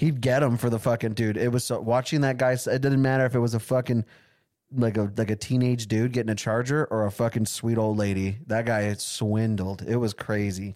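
A man's plain, everyday voice at medium pitch, fairly quick and fairly even in intonation, with very even loudness in a very clean recording against a silent background. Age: 20s. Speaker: podcast co-host. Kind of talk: casual chat. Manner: joking.

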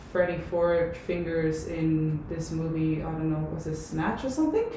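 Noticeable background noise sits behind a woman's voice. Her pitch is fairly low, and her intonation is monotone and flat. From Puerto Rico. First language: Spanish. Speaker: olympic weightlifter and personal trainer. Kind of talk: casual chat. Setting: in person.

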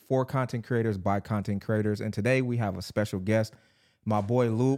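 Using a normal speaking voice, a man speaks at a fairly low pitch and fairly quick pace with ordinary pitch variation, on a very clean recording with a silent background. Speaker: podcast host. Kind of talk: casual interview. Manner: casual, laid-back.

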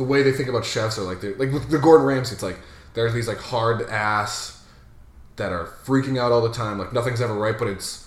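A man with an American accent speaks fairly quickly in a somewhat breathy voice. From Massachusetts. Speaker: customer service worker at a betting company. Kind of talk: casual chat.

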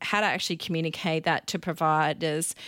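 On a very clean recording with a silent background, a woman with an Australian accent speaks at a moderate pace in a fairly low pitch. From Australia, Victoria and Queensland. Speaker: event organiser and marketing business founder. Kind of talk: casual interview chat.

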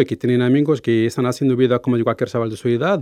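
The voice belongs to a man and has a dark, mellow tone. Behind him, the background stays quiet. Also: dry, close sound with no echo. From Morocco. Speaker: intercultural mediator. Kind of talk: interview. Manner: halting, many fillers.

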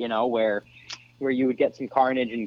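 A plain, everyday voice, this speaker keeps a fairly quick pace. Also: man. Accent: American. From Florida. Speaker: off-road racer. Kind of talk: casual chat.

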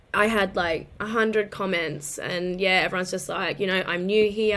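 A woman with an Australian accent speaks at a moderate pace and a medium pitch. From Queensland, Australia. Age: 30s. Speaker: lingerie influencer and office worker. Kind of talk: casual interview chat.

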